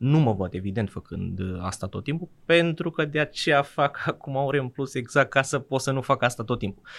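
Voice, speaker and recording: With an unremarkable speaking voice, a man talks at a moderate pace in a medium pitch, using lively intonation and hardly any pauses. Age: 20s. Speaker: IT freelancer developer. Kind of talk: interview conversation.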